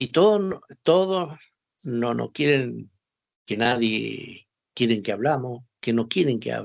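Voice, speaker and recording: Using lively intonation, a man speaks at a very slow pace with long, frequent pauses. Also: medium pitch for a man. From northern Argentina, Formosa. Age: 60s. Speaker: war veteran. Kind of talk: interview.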